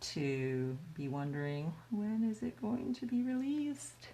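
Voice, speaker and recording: Audible echo from the room surrounds a woman whose voice is somewhat breathy. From US. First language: Chinese. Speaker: artist. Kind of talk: casual livestream Q&A while painting. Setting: livestream. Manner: casual, halting with repetitions.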